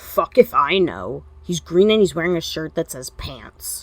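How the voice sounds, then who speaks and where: A woman puts on a growling character voice at a fairly low pitch. She keeps a moderate pace, her loudness swinging widely. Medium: read story. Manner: crude, blunt.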